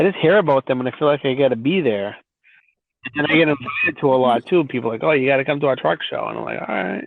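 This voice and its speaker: In a Boston accent, a man with a fairly high voice talks at a very fast pace. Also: ordinary pitch variation. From Massachusetts (Brockton, near Boston). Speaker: truck driver. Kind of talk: casual chat. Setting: podcast interview. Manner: halting. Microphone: audio glitches, quiet spots.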